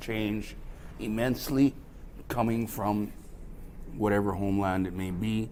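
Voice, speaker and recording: With audible room echo, a man with a Canadian Prairie accent and a fairly low pitch speaks at a moderate pace with fairly even intonation. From Saskatchewan, Canada (rural). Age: 50s. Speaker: spoken word performer. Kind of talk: casual self-introduction. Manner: halting, with fillers.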